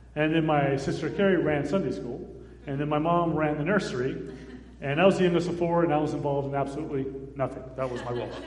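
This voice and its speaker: Talking very fast, a man with an American accent uses a fairly high pitch and ordinary pitch variation. Audible room echo and noticeable background noise fill the recording. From US Southwest, Phoenix, Arizona. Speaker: missionary, founder of a children's charity. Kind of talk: testimony in a church service.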